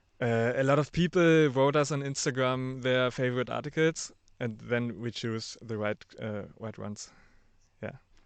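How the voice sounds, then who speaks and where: A man of medium pitch with a German accent, at a fairly slow pace over a quiet background. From Germany. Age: 30s. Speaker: podcast producer. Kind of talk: interview. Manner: halting.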